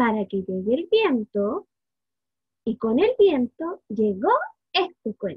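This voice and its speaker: Against a quiet background, a woman with a high pitch and a warm, playful tone makes very wide pitch swings at a very slow pace, leaving long, frequent pauses. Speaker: early childhood education student. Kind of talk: children's storytelling, picture-book read-aloud. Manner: warm, playful, engaging, asking the children questions. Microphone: webcam.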